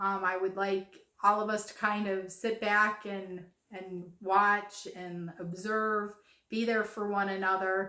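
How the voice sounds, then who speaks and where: Her delivery is monotone with flat intonation, a bright, sharp tone and a very slow pace from a woman. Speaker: craft video host. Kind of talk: casual vlog talk to viewers.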